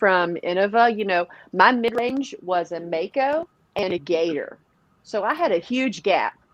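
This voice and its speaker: A woman's medium-pitched voice with a Southern US accent, fairly slow pace and lively intonation. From Tennessee, near Nashville. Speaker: professional disc golfer. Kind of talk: podcast interview. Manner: animated.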